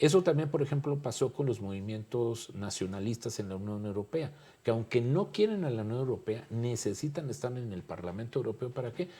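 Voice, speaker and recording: The voice has a dark, mellow tone and is somewhat breathy. Its intonation is lively and its pace moderate. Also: man. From Mexico. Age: 60s. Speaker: political scientist. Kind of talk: panel discussion.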